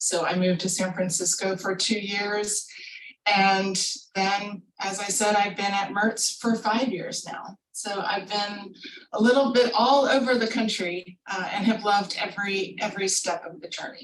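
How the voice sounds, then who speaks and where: Here is a woman with an ordinary speaking voice and an American accent. Her intonation is fairly even. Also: medium pitch for a woman, fairly slow pace. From US Mid-Atlantic, southern Maryland. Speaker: pharmaceutical scientist. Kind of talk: career talk.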